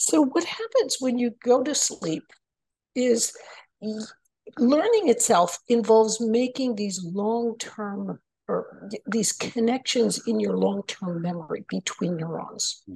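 Speaking very slowly with an American accent, a woman has a fairly high pitch, a dark, mellow tone, a somewhat breathy quality and lively intonation. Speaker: engineering professor and author. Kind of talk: interview. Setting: remote call.

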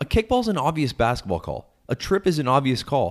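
On a very clean recording with a silent background, a man speaks in an animated tone with vocal fry and very wide pitch swings. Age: 30s. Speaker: sports podcast co-host. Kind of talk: casual chat.

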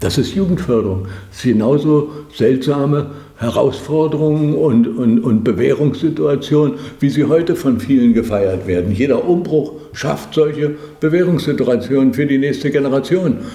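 A man speaks at a moderate pace with lively intonation. There is noticeable background noise and audible room echo. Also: fairly high pitch for a man. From East Germany. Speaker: former TV commentator and satirist. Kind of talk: interview. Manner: hesitant with fillers.

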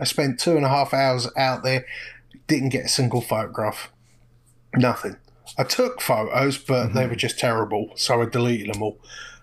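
At a moderate pace, a man with an English accent speaks at medium pitch with fairly even intonation. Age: 40s. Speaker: street photographer. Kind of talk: podcast interview. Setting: remote call.

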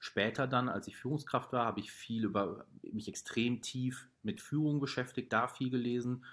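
A man with a normal speaking voice, medium pitch, ordinary pitch variation and a moderate pace, on a very clean recording with a silent background. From Ruhr area, Germany. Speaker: startup founder. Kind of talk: casual interview.

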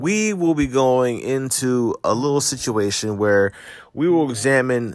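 An animated man with an American accent talks at a fairly slow pace in a medium pitch, his intonation lively. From New Jersey. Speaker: podcast host, celebrity news commentator. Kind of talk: casual commentary monologue. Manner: animated, ranting.

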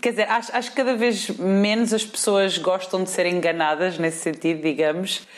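Noticeable background noise sits behind a woman with a European Portuguese accent. Her pitch is fairly low, with ordinary pitch variation. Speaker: podcast host. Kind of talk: casual chat.

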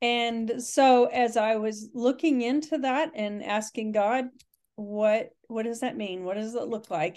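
In a plain, everyday voice, a woman with an American accent talks at a fairly slow pace, her fairly high pitch showing ordinary variation. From Texas. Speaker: pastor and immigration advocate. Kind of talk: interview.

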